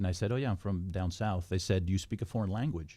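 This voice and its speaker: On a very clean recording with a silent background, a man speaks at a fairly low pitch in a dark, mellow, somewhat breathy tone, with ordinary pitch variation. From California, Santa Barbara. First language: Spanish. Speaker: retired FBI agent. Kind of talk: interview.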